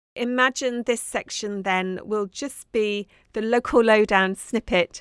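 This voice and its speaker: In a very clean recording with a silent background and a dry, close sound with no echo, a woman speaks with a southern English accent and a warm tone. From southern England, Dorset. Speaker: podcast host, craft maker. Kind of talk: casual monologue. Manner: warm, chatty.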